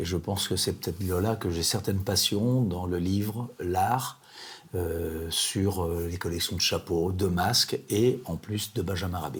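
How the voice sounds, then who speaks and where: Somewhat breathy and very deep, this man's voice moves at a fairly slow pace with ordinary pitch variation. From France, Vendée. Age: 70s. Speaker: retired printer, art collector. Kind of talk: interview. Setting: at his home. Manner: halting.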